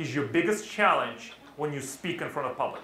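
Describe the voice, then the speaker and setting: An animated man with lively intonation, some room echo and noticeable background noise. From Russia. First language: Russian. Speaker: public speaking trainer. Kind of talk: interactive workshop talk. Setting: stage with live audience.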